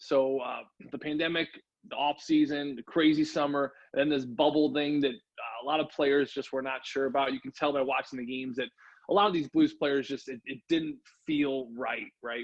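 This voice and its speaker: An ordinary speaking voice, this man's is fairly high in pitch, with an American accent, fairly even intonation and a fairly quick pace. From US Midwest, St. Louis. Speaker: hockey radio announcer, former player. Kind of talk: interview.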